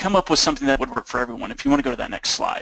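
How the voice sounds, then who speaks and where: In an Oklahoma accent, a man with a fairly high pitch and ordinary pitch variation is heard in a dry, close sound with no echo. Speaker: nonprofit program manager. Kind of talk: webinar presentation. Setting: webinar call.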